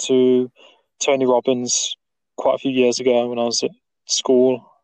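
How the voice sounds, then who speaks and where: This man speaks at a medium pitch with an East Midlands accent. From Nottingham, English Midlands. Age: 20s. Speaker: podcast host. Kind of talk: casual chat. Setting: remote call. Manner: halting.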